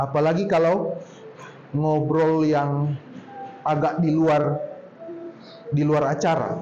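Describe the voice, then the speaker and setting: Over noticeable background noise and audible room echo, a man with a fairly high voice talks at a very slow pace in a monotone, flat intonation, keeping his loudness very even and leaving long, frequent pauses. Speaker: speaker at a public speaking workshop. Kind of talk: workshop talk. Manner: casual, conversational.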